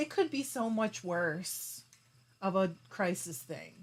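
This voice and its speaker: A woman speaks with lively intonation in a somewhat breathy voice of medium pitch. The recording is very clean, with a silent background. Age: 40s. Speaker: fiber arts YouTuber. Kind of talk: livestream chat reading comments. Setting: live stream. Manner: casual, chatty.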